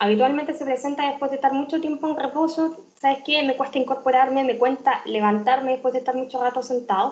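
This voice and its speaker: A woman with a high pitch talks very fast with fairly even intonation. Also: hardly any pauses. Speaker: physician lecturer. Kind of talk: lecture.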